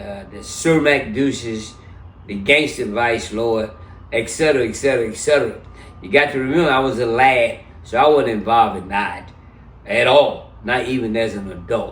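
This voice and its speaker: A man speaks in a somewhat breathy voice, with audible room echo around him. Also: medium pitch for a man, ordinary pitch variation, moderate pace. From US South (Memphis, Tennessee). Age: 70s. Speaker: interview guest. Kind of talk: casual interview.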